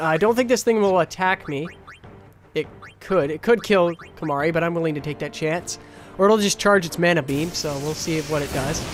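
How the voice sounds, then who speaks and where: Music plays behind a man whose high voice shows ordinary pitch variation. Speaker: gaming YouTuber. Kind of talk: live gameplay commentary. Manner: casual, hesitant with many fillers; stuttering.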